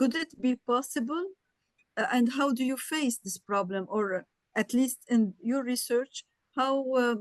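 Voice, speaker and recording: A woman with a non-native accent speaks at a high pitch with ordinary variation and a fairly slow pace. The sound is dry and close, with no echo. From Lebanon. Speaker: audience member. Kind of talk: question in webinar. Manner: halting.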